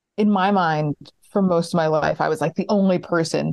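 A woman with a New York accent speaks at a moderate pace, her fairly low voice keeping a fairly even intonation. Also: dry, close sound with no echo. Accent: American, New York area. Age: 30s. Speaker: stand-up comedian. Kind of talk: casual interview chat. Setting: remote call.

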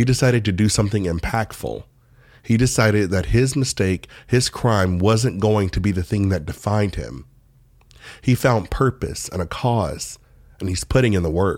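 With a normal speaking voice, a man talks at a moderate pace, fairly low in pitch with ordinary pitch variation. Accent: American. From United States. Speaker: podcast host. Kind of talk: scripted narration.

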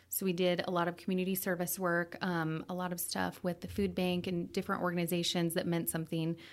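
Someone with an American accent speaks at a moderate pace on a very clean recording with a silent background. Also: woman. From US, northern Idaho (Coeur d'Alene). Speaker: coffee shop owner. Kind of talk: interview.

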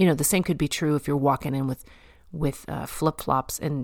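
A woman speaks in an animated tone with a very deep, low pitch and ordinary pitch variation. The recording is very clean, with a silent background. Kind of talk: devotional talk.

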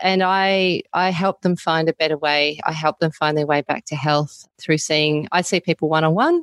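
In an Australian accent, a woman talks with a very deep, low pitch and fairly even intonation. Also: moderate pace, very even loudness. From Australia (Melbourne). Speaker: naturopath. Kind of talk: interview.

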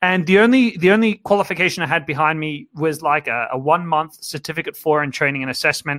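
Speaking very fast with hardly any pauses, a man with an Australian accent has a fairly high pitch, ordinary pitch variation and a bright, sharp tone, recorded with a dry, close sound and no echo. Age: 30s. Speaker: dating coach. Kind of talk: webinar lecture. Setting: live online webinar. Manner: animated.

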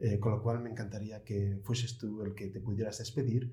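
This man's medium-pitched voice has a dark, mellow tone, is somewhat breathy, and stays monotone with flat intonation. Audible room echo surrounds it. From Asturias, Spain. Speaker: guest interviewer. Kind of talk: interview.

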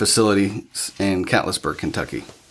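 A man with a Midwestern US accent speaks at a moderate pace, his fairly low voice held to a fairly even intonation in a very clean recording with a silent background. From Ohio, near Columbus. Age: 30s. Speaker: addiction recovery leader. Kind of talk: interview testimony. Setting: organization office. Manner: hesitant, many fillers.

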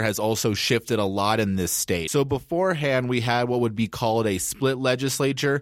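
At a fairly quick pace, a man talks in an ordinary speaking voice at medium pitch with ordinary pitch variation. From Denver, Colorado. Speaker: government affairs director at a children's advocacy group. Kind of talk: casual interview about policy.

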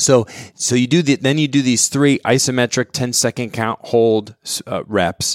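At a moderate pace, a man speaks in an unremarkable speaking voice with ordinary pitch variation, the sound dry and close with no echo. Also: medium pitch for a man. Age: 40s. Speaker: fitness podcast host. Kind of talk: casual interview. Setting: studio.

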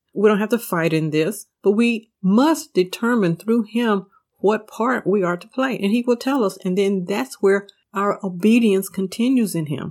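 A woman's voice of medium pitch, an unremarkable speaking voice, with ordinary pitch variation and a moderate pace. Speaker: Bible teacher and podcast host. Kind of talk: devotional Bible study teaching. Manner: earnest, warm, preacherly.

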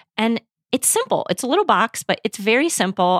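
A woman speaks with a Midwestern US accent. The sound is dry and close, with no echo. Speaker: podcast host. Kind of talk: casual conversation. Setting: home spare bedroom, remote recording.

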